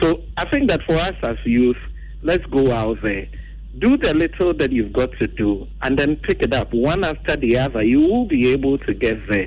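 Moderate-paced speech from a man at very even loudness, with noticeable background noise. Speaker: radio call-in caller. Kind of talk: phone-in comment.

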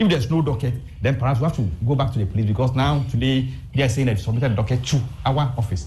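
A man with a medium-pitched, dark and mellow voice talks very fast, somewhat breathy, with ordinary pitch movement and very even loudness. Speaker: panelist. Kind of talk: panel discussion.

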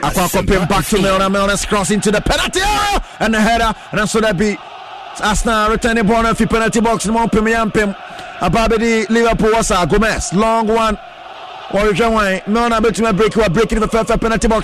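Over noticeable background noise, a man talks at a very fast pace with hardly any pauses, his high-pitched, animated voice holding very even loudness and ordinary pitch variation. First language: Akan (Twi). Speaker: radio sports commentator. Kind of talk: live commentary. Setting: radio studio.

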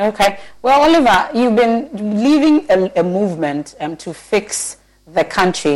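A woman's medium-pitched voice with very wide pitch swings at a fairly slow pace. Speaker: TV news interview host. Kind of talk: panel interview. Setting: studio with guests on Zoom.

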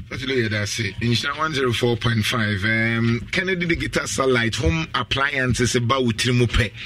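A man with a Ghanaian accent at a moderate pace, hardly any pauses, and noticeable background noise. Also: medium pitch for a man, ordinary pitch variation, very even loudness. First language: Twi. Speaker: radio host. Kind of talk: radio talk show.

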